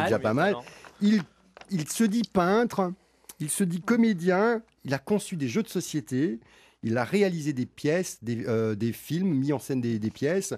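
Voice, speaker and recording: A man's fairly high voice with very wide pitch swings, a fairly slow pace and long, frequent pauses, in a very clean recording with a silent background. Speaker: radio show host. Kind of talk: live radio talk show hosting. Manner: joking, bantering.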